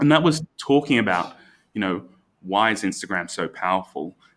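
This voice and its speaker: An Australian-accented man at a moderate pace, with ordinary pitch variation, in a very clean recording over a silent background. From Australia, Brisbane. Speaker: architect, firm founder. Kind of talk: casual interview chat. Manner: halting, many restarts.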